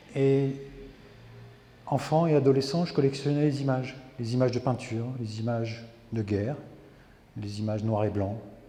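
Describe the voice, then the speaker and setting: A man's medium-pitched voice at a moderate pace with ordinary pitch variation and long, frequent pauses, amid noticeable background noise and audible room echo. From France, rural farming background. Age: 60s. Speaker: photographer, retired army officer. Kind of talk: interview. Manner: hesitant, many fillers.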